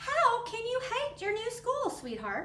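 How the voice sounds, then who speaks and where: A squeaky, put-on character voice at a fairly slow pace with fairly even intonation, amid clear background noise and slight echo. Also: woman, extremely high pitch for a woman. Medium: read story.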